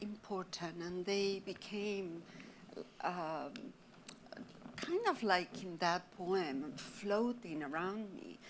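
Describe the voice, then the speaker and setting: Very slow speech from a woman in an Argentine accent, with big swings in loudness. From Argentina, Buenos Aires. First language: Spanish. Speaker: artist. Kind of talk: panel discussion.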